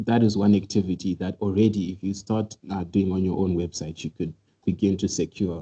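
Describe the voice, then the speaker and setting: Heard dry and close with no echo, a man's very deep, low voice is somewhat breathy with a dark, mellow tone. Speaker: cybersecurity presenter. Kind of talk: webinar tutorial. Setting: online webinar. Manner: fast.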